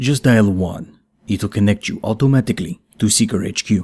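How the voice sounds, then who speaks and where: Put-on character voice from a man, pitched fairly low, delivered at a moderate pace. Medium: read story. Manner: dry, sardonic.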